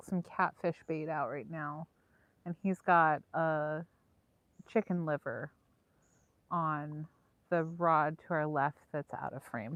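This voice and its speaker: A woman with an American accent speaks very slowly at a very deep, low pitch, leaving long, frequent pauses. Her intonation is fairly even, and the sound is dry and close with no echo. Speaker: fishing livestream co-host. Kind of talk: live stream chat while fishing. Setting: outdoors at a lake.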